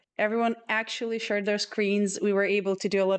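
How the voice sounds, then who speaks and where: A woman speaks with a non-native accent and fairly even intonation against a quiet background. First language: not English. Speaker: contest organizer and stream host. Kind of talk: livestream chat with contestants.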